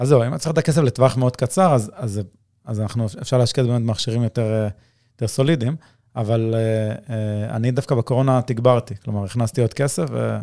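A man with a dark, mellow tone talks at a very fast pace with ordinary pitch variation. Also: medium pitch for a man. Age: 30s. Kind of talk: casual interview chat.

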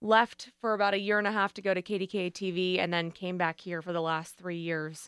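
In a plain, everyday voice, a woman speaks at a medium pitch and a fairly quick pace with hardly any pauses and fairly even intonation, the sound dry and close with no echo on a very clean recording with a silent background. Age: 30s. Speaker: radio news and sports reporter. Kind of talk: casual chat.

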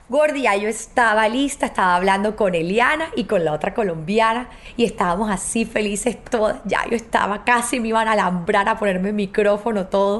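Over noticeable background noise, a woman with a fairly high pitch and an animated tone speaks at a moderate pace with hardly any pauses and ordinary pitch variation. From Colombia. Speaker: TV presenter and podcast host. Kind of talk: storytelling monologue.

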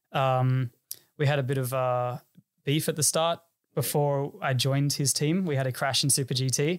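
On a very clean recording with a silent background, a man with a fairly high voice speaks at a moderate pace. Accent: Australian. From Sydney northern beaches, Australia. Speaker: racing driver. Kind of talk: casual interview chat.

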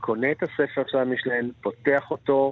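A man speaks with monotone, flat intonation. His medium-pitched voice holds a fairly slow pace. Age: 60s. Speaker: chef. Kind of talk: interview.

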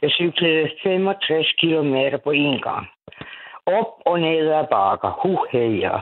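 Speaking at a very slow pace with long, frequent pauses, a woman uses a very deep, low pitch. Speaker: caller to late-night radio show. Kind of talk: casual chat. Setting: phone call. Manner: animated.

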